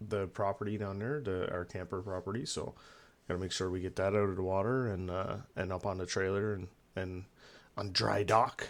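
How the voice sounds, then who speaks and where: A man talks at a fairly quick pace with a fairly low pitch. The recording is very clean with a silent background. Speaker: gaming streamer. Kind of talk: casual chat. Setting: live stream at home. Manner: talking low; halting, many fillers.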